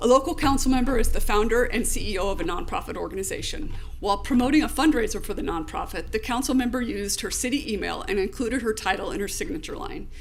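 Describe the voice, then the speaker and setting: A woman's high-pitched, very fast delivery with hardly any pauses and very wide pitch swings, music in the background and audible room echo. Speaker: ethics trainer, lawyer. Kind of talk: training presentation. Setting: public meeting.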